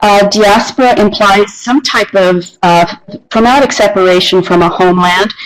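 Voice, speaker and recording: A plain, everyday voice from a woman, fairly high in pitch, at a moderate pace with ordinary pitch variation. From Canada. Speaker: university researcher. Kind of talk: conference presentation. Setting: video call.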